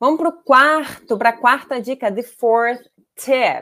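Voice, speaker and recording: A woman with a Brazilian accent speaks at a very slow pace and high pitch. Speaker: language teacher. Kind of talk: live online class. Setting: livestream. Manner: animated.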